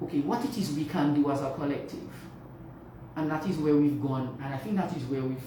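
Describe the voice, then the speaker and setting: Speech moves at a fairly quick pace, with audible room echo and noticeable background noise. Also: woman. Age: 60s. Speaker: nurse. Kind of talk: radio interview. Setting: studio.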